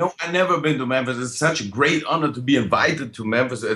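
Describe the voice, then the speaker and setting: Noticeable background noise surrounds a man speaking with a German accent. His voice sits at a medium pitch, with lively intonation. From Germany. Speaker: blues band musician. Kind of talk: interview. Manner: halting.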